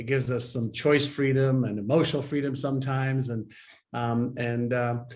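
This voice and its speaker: A man's medium-pitched, monotone, flat delivery in a room with audible echo. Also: moderate pace. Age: 60s. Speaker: mindset and behavior expert. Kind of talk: interview.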